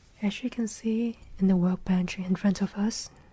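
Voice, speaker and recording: Soft-spoken and relaxed in tone, the speaker talks at a fairly slow pace. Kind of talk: soft-spoken ASMR ramble about a watch modding project. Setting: indoors at a workbench. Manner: soft-spoken, slow, relaxed.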